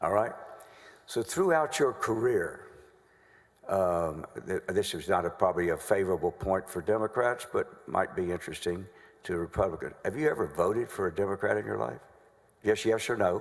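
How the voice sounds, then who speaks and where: Speaking in a Southern US accent, a man with a fairly low voice uses lively intonation and takes long, frequent pauses. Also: moderate pace. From North Carolina. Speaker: trial lawyer. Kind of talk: courtroom examination. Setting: legislative chamber courtroom. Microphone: acoustic issues in room.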